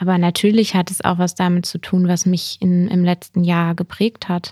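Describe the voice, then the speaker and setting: In a very clean recording with a silent background and a dry, close sound with no echo, a woman speaks at a fairly slow pace and medium pitch. Her tone is dark, mellow and somewhat breathy, with monotone, flat intonation. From Lower Saxony, Germany (near Hameln). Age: 20s. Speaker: politician and teacher. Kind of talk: casual interview.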